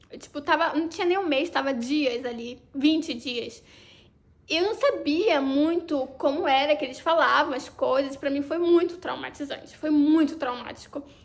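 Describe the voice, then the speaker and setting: A woman speaks at a moderate pace with a high voice. Her pitch varies in an ordinary way. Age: 30s. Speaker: vlogger. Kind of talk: personal storytelling vlog. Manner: casual, animated.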